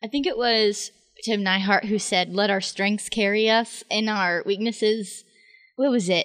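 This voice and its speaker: With a normal speaking voice, a woman speaks at a fairly slow pace and a fairly high pitch, keeping her loudness very even. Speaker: podcast host, college student. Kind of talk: casual chat.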